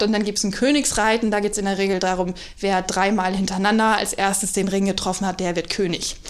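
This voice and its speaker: A woman's fairly even intonation carries through audible room echo. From North Frisia, Germany. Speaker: deputy hotel manager. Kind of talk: casual interview chat. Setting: hotel, in person.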